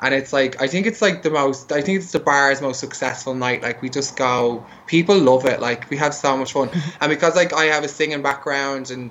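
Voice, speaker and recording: Speaking fairly quickly in an Irish accent, a man has a fairly high voice. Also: ordinary pitch variation. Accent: broad Irish (hosts call it UK accent). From Ireland, Dublin. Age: 30s. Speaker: drag queen. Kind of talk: casual interview.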